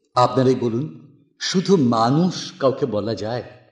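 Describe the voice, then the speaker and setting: A man talks with lively intonation. His is an unremarkable speaking voice. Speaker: poetry reciter. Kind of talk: poetry reading.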